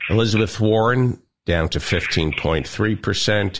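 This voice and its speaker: A man's very deep, low voice with vocal fry, very slow pace and ordinary pitch variation. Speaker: radio show host. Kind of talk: comedic banter. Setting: studio. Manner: teasing.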